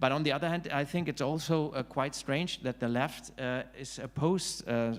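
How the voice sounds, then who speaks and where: A man with a German accent at a moderate pace, ordinary pitch variation, on a very clean recording with a silent background. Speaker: author and political scientist. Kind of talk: panel discussion. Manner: halting, many fillers.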